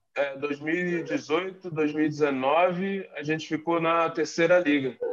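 At a very slow pace, a man with a high pitch speaks with fairly even intonation. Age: 30s. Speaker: American football player. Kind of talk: casual interview. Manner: halting, many fillers.

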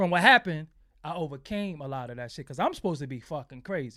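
A high-pitched man's voice with ordinary pitch variation, on a very clean recording with a silent background. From Brooklyn, New York (Bed-Stuy). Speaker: website founder and former DJ/producer. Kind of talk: casual interview.

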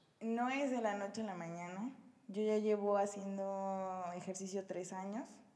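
The recording has noticeable background noise and audible room echo. A woman of medium pitch speaks at a fairly slow pace with fairly even intonation. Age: 20s. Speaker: nursing graduate and fitness athlete. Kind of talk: casual chat. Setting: home recording.

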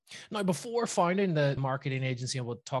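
Against a quiet background, a man talks with a Northern Irish accent. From Northern Ireland, Belfast. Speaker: podcast host. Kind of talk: interview.

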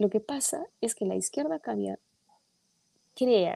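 Very slowly, a woman talks in a dark, mellow tone, the sound dry and close with no echo. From Peru. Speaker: politician. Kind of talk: political discussion. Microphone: too quiet.

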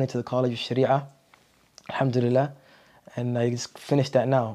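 Monotone and flat, a man of medium pitch with a dark, mellow tone talks at a fairly quick pace broken by long, frequent pauses. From Ottawa, Canada. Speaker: Islamic studies graduate. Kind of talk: casual interview.

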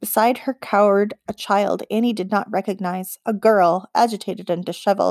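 Reading aloud in a natural voice, fairly even intonation, against a quiet background

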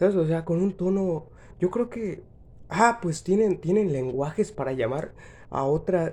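High-pitched male voice with a dark, mellow tone against a quiet background. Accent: Mexican. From Mexico. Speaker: podcaster. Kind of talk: comedic monologue. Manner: halting.

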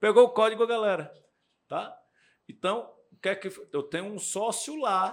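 A high-pitched man speaks at a fairly slow pace in a very clean recording with a silent background. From Brazil, Ceará (Fortaleza). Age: 40s. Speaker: real estate developer and investor. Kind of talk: interview, casual podcast chat.

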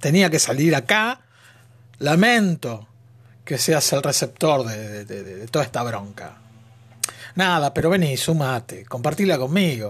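Somewhat breathy and fairly high in pitch, a man talks at a fairly slow pace with long, frequent pauses, very wide pitch swings and big swings in loudness. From Argentina. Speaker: podcaster. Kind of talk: monologue. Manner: animated.

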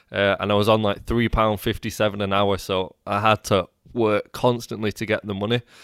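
A man with a British accent, fairly low in pitch and flat, monotone in intonation, on a very clean recording with a silent background and a dry, close sound with no echo. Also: fairly quick pace. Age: 20s. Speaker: entrepreneur and podcaster. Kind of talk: casual interview chat.

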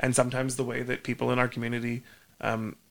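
In a Canadian accent, a man talks at a fairly quick pace with a medium pitch, a bright, sharp tone and vocal fry. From Alberta, Canada (near Edmonton). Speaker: community historian and bar owner. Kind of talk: interview. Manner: halting, repeats words.

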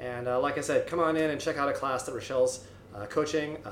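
Amid noticeable background noise and audible room echo, a man speaks at a fairly quick pace and fairly high pitch with fairly even intonation. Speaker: gym owner hosting a podcast. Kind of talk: casual interview.

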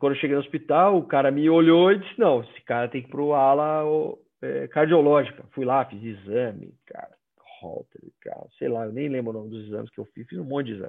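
A man with a fairly high voice talks at a fairly quick pace, using lively intonation and big swings in loudness. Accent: northeastern Brazilian. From Brazil, Northeast (Maceió, Alagoas). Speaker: headhunter. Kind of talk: personal testimony in a live video chat. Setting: video call.

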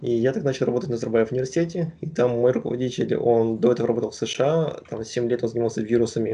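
A man's somewhat breathy voice at medium pitch, dark and mellow in tone, with ordinary pitch variation and a very fast pace. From Kazakhstan, Astana. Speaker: PhD student in virology. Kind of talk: interview.

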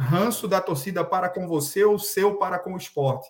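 A man talks at a moderate pace with fairly even intonation. He has a plain, everyday voice. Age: 30s. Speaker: podcast host. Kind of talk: interview.

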